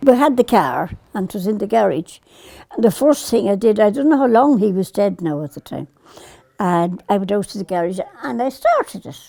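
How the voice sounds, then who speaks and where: Speaking fairly quickly in an Irish accent, a woman at medium pitch makes very wide pitch swings and big swings in loudness. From Ireland. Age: 80s+. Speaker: farmer. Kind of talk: interview answer.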